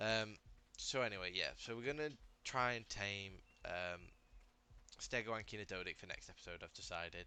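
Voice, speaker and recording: The delivery moves at a moderate pace with ordinary pitch variation and long, frequent pauses. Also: man, medium pitch for a man. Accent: British. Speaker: gaming youtuber. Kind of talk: gameplay commentary. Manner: halting, many fillers.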